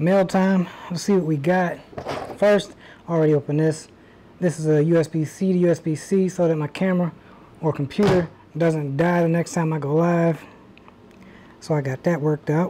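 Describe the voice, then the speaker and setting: A woman of fairly low pitch at a moderate pace, with long, frequent pauses, fairly even intonation and light background noise. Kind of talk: casual vlog chat. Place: garage.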